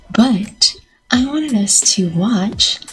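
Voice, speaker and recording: A fairly high-pitched female voice with ordinary pitch variation and music in the background. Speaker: paranormal reaction YouTuber. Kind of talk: casual reaction vlog chat. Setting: at home, recording early morning. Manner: soft-spoken.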